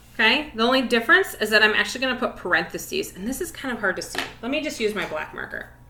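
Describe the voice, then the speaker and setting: A woman talks at a moderate pace. Room echo is audible around her voice. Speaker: elementary music teacher. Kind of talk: tutorial.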